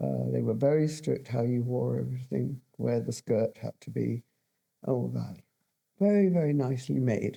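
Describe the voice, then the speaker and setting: Speaking in a southern English accent, a woman keeps a moderate pace. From London, England. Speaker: fashion designer. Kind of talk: interview. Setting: school studio.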